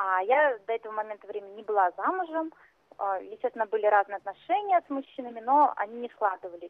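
This woman speaks in a normal speaking voice at a fairly high pitch. Her intonation is lively. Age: 30s. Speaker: caller. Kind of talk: phone-in confession.

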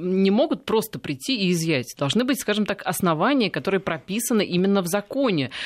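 Speech comes at a fairly quick pace. The recording is very clean, with a silent background. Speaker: radio host. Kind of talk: radio interview. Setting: studio.

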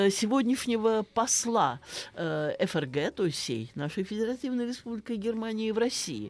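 Very wide pitch swings in a woman's fairly high-pitched speech. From Russia, Saratov (Volga region). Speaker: philology professor. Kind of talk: radio interview. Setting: studio.

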